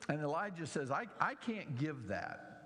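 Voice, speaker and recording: A man with a Southern US accent swings his pitch very widely. Room echo is audible. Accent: southern drawl. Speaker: pastor. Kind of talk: sermon.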